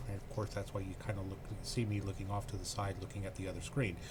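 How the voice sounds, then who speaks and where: Soft-spoken, a man talks with a fairly low pitch. Noticeable background noise is present. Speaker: computer tech channel host. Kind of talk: casual screen-share tutorial. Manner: hesitant, many fillers.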